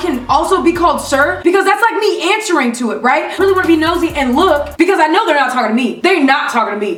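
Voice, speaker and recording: Music plays in the background as a woman talks. Her pitch is extremely high, and her intonation is lively. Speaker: YouTuber. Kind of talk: storytime rant to camera. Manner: fast.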